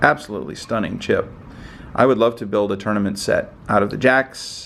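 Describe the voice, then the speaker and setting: A man with vocal fry speaks at a fairly quick pace and fairly low pitch, with ordinary pitch variation. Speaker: poker chip collector, video host. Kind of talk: casual show-and-tell video. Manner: fast.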